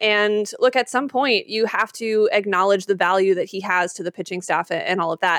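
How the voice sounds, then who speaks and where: An unremarkable speaking voice with an American accent moves at a fairly quick pace with ordinary pitch variation, recorded dry and close with no echo. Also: woman. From Utah, Salt Lake City. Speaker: sports broadcaster and podcaster. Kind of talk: casual interview.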